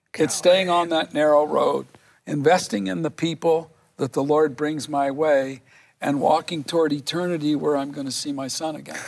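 Speaking at a moderate pace, a man uses a plain, everyday voice with fairly high pitch and fairly even intonation. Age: 60s. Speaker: business consultant. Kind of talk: testimony.

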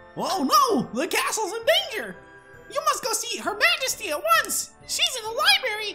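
Over loud music in the background, a squeaky put-on character voice moves at a moderate pace with very wide pitch swings. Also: woman, extremely high pitch for a woman. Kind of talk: game character dialogue.

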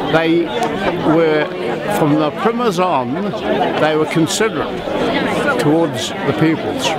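Amid loud background noise, a man talks at a fairly slow pace with long, frequent pauses, and the sound is dry with no echo. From New Zealand. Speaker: former pupil at school reunion. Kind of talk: interview answer. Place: street. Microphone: phone near.

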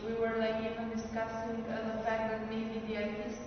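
A woman speaks in a room with strong echo, and noticeable background noise runs underneath. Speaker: conference presenter. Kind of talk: conference talk. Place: meeting room. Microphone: camera far.

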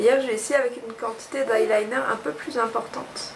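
A woman's fairly high voice at a moderate pace, with fairly even intonation over clear background noise.

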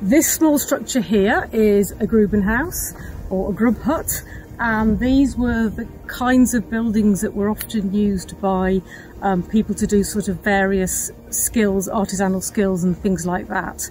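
The pace is fairly slow as a woman speaks with ordinary pitch variation. The sound is dry with no echo, over light background noise. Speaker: nature reserve guide. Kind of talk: guided tour explanation to camera. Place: open country. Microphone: lapel.

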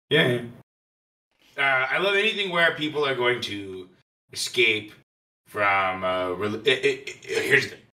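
Putting on a character voice, a man talks at medium pitch and a moderate pace, with long, frequent pauses. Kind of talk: improvised comic interview answer.

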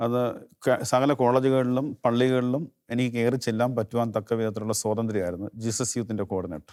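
Little sound surrounds the speaker, a man. His intonation stays fairly even. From Kerala, India. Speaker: lay preacher. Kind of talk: testimony. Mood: warm, smiling, reflective. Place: studio. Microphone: lapel.

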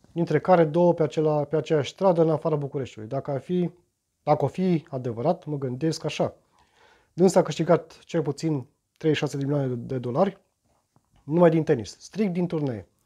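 Over a quiet background, a man speaks at a moderate pace with a fairly high pitch. His tone is dark and mellow, with ordinary pitch variation. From Romania. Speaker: YouTuber; vlogger commenting on the news. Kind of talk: reading aloud and commenting on news. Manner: halting, many repetitions and fillers. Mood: ironic, mocking. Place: home room. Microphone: phone near.

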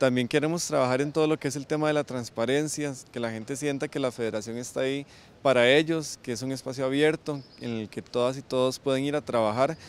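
With hardly any pauses, a man talks in fairly even intonation, the sound dry with no echo. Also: medium pitch for a man, fairly quick pace. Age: 20s. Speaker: student representative; student council member. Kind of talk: interview. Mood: calm, earnest. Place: street. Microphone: handheld.

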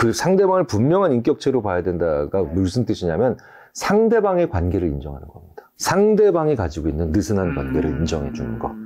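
Speaking at a fairly quick pace, a man barely pauses at all. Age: 50s. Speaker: psychology professor. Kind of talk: interview. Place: studio.

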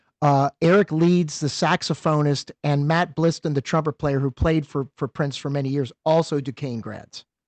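A man with an American accent speaks at a moderate pace, with hardly any pauses and fairly even intonation. The sound is dry with no echo, and the background is quiet. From eastern Pennsylvania. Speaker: podcast co-host. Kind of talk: casual interview. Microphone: video call.

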